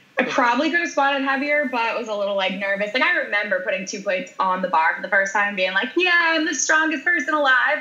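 Over noticeable background noise, a woman uses a raised, projected voice, high in pitch, with very wide pitch swings. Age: 30s. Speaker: powerlifter and weightlifter. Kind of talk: interview.

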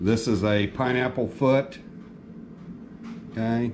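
Over noticeable background noise, a man talks at a very slow pace. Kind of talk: tutorial. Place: workshop.

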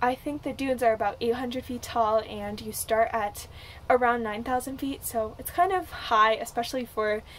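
Against light background noise, a woman speaks at a moderate pace with ordinary pitch variation and big swings in loudness. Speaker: travel vlogger. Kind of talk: casual vlog chat with tips. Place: home room. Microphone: phone near.

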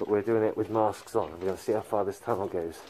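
A man keeps a moderate pace while light background noise sits behind him. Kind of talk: casual vlog chat. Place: tunnel cave. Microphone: phone near.

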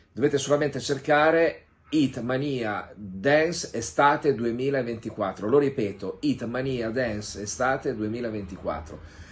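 The speech moves at a very slow pace and is somewhat breathy. Its pitch variation is ordinary. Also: man. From Piedmont, Italy (Vercelli); Piedmont, Italy. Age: 60s. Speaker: music producer. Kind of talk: promotional video message. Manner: informal, somewhat halting. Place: home room. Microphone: phone near.

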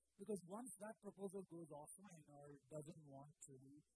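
Against noticeable background noise, a man talks at a moderate pace in a dark, mellow tone, the sound dry with no echo. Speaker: conference speaker. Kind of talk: technical talk. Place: tent. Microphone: handheld.

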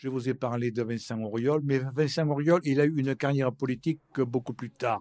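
A man's voice has a dark, mellow tone. The sound is dry with no echo, and the background is quiet. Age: old. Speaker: historian and lecturer; lecturer. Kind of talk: live public talk. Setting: stage with audience. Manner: talkative. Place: hall.

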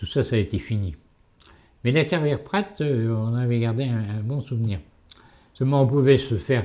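A man's dark, mellow tone at a moderate pace, with ordinary pitch variation over a quiet background. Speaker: elderly local witness. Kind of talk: testimony, elder telling life memories. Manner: halting, reminiscing, with hesitations. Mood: calm reminiscing. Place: home room.

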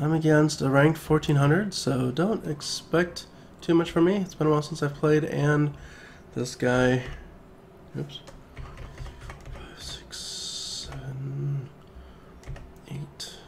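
Amid noticeable background noise, a man speaks at a very slow pace with long, frequent pauses and big swings in loudness. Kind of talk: casual gameplay commentary. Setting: home recording, new mic.

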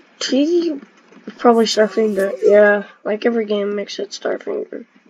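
A woman's fairly high-pitched voice with lively intonation at a moderate pace. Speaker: gamer. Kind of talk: gameplay commentary. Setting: video game recording. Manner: casual, reactive.

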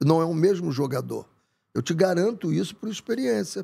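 Against a quiet background, a man's dark, mellow tone moves through very wide pitch swings. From Brazil, Rio de Janeiro. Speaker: football coach. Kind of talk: interview conversation. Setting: studio. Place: studio. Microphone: studio mic.

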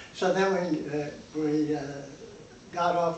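The recording carries audible room echo. Light background noise is also present. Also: man. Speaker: eyewitness to a historic disaster. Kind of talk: interview answer. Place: home room. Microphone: camera far.

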